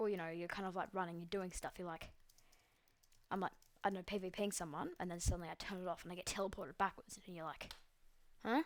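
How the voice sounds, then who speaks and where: A woman with an Australian accent talks at a very fast pace, leaving long, frequent pauses, her intonation fairly even. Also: medium pitch for a woman. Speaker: gaming YouTuber. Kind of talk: gameplay commentary. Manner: hesitant, many fillers.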